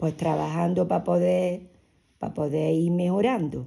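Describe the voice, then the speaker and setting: With a fairly low pitch and a dark, mellow tone, a woman speaks with vocal fry in a very clean recording with a silent background. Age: 60s. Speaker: interviewee, mother of the host. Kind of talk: family interview, personal recollection. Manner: halting, with repetitions.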